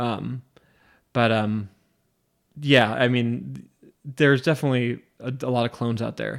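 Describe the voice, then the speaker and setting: Pausing long and often, a man at a medium pitch speaks at a fairly slow pace with fairly even intonation in a very clean recording with a silent background. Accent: American. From US Pacific Northwest (Spokane, Washington). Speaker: podcast host. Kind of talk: casual chat. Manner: halting, many fillers.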